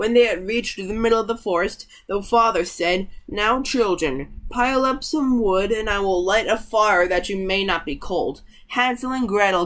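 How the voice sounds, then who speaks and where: Nothing much stirs in the quiet background. The speaking pace is moderate. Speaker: storyteller. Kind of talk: story read-aloud. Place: home room. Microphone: webcam.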